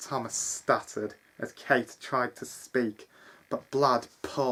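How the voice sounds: The clip features a natural reading voice.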